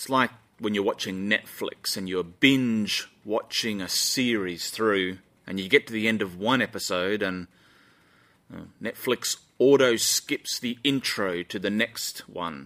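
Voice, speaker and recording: A man with an Australian accent, fairly low in pitch, with a bright, sharp tone, ordinary pitch variation, a fairly slow pace, and a dry, close sound with no echo. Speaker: pastor. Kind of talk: sermon. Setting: church live stream.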